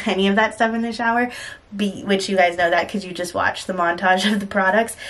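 A woman speaks with fairly even intonation. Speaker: beauty vlogger. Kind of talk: casual vlog chat. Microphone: phone near.

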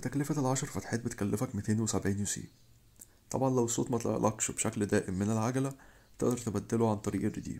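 A man speaks at a fairly quick pace with an Egyptian accent, his medium-pitched voice dark and mellow, the intonation fairly even. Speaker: gaming youtuber. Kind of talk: tutorial.

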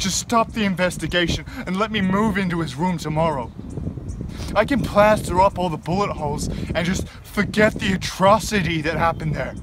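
Ordinary pitch variation at a moderate pace, dry with no echo, over noticeable background noise. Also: man, high pitch for a man. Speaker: actor. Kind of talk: dramatic monologue, a suspect's bitter confession-like speech to a detective. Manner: simmering, accusatory menace building to raw grief-stricken anger; sarcastic, taunting rhetorical questions. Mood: bitter, grieving, confrontational. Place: garden. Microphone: phone near.

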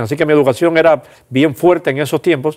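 A man's fairly high voice at a very fast pace. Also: quiet background. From Cuba, Pinar del Río; Cuba. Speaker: pastor and church administrator; pastor. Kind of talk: interview testimony. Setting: studio. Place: studio. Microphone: lapel.

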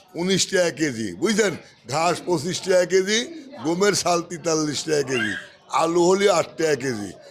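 Background noise is noticeable throughout. The voice rises and falls in a lively way. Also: man, high pitch for a man. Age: 60s. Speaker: wholesale onion trader. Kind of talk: market interview.

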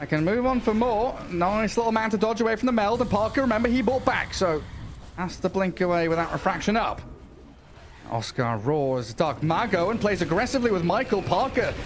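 The speaker's tone is animated, with lively intonation and very even loudness, over noticeable background noise. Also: man, high pitch for a man, fairly quick pace. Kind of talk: esports play-by-play commentary. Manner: fast, animated, excitable play-by-play delivery.

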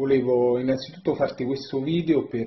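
A man's fairly even intonation carries a somewhat breathy quality. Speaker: storyteller. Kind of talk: testimonial message to camera. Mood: warm, grateful. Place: home room. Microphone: phone near.

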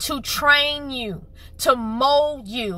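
A woman with a high pitch and a bright, sharp tone uses a raised, projected voice and lively intonation, with a dry sound and no echo. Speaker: channel host. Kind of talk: prophetic sermon delivery. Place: car. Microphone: phone near.

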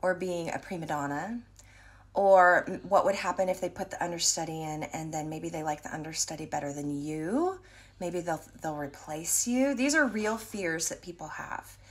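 A woman talks at a moderate pace. Her pitch is fairly low, with ordinary pitch variation. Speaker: voice teacher or vocal coach. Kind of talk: casual explanatory talk. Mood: thoughtful, earnest. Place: home room. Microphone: phone near.

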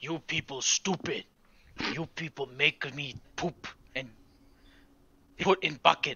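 A put-on character voice moves at a fairly slow pace. Long pauses come often. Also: man, fairly high pitch for a man. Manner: broken grammar, simple and blunt.

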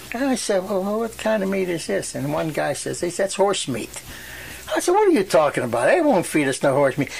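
A man's high voice with very wide pitch swings at a moderate pace, over noticeable background noise. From Western Pennsylvania, USA. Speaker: World War II veteran. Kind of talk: oral history interview answer.

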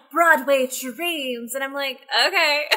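Over a quiet background, the speaker uses a raised, projected voice with a bright, sharp tone and an American accent. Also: woman. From Texas. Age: 20s. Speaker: social media manager; podcast guest. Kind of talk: casual chat. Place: home room.

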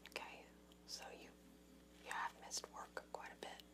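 A woman whispers in a gentle tone at a moderate pace. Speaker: interviewer asking about drinking. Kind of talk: clinical interview questions. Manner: soft-spoken, gentle ASMR counselor voice. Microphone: webcam.

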